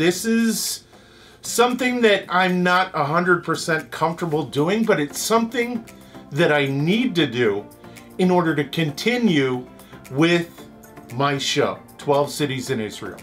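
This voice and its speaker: A man talks at a very slow pace, with faint music in the background. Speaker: travel show host. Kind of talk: fundraising appeal to camera. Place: home room.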